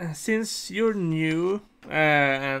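A man speaks with fairly even intonation in a tone that is bright and sharp yet clear and smooth.

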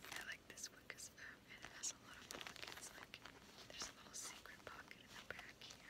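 Whispering, a woman speaks at a fairly quick pace. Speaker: ASMR creator. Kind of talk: ASMR show and tell. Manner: whispered. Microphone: phone near.

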